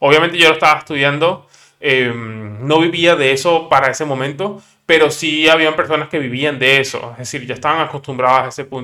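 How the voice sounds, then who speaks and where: A man with a fairly high pitch, a bright, sharp tone and fairly even intonation, on a very clean recording with a silent background. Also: fairly quick pace. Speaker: podcaster, software developer. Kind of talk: casual monologue. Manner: halting, many fillers and repetitions.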